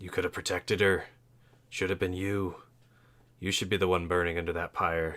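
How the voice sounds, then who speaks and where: A man puts on a character voice, very deep and low, at a fairly quick pace. Long, frequent pauses break it up, and the recording is very clean with a silent background. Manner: accusatory, harsh.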